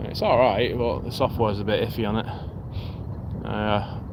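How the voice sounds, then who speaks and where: With a Lancashire accent, a man talks at a fairly quick pace with fairly even intonation and a medium pitch over noticeable background noise. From northern England, Ramsbottom area. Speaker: fishing live-streamer. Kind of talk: casual live stream chat. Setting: outdoors on riverside promenade. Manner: hesitant, many fillers.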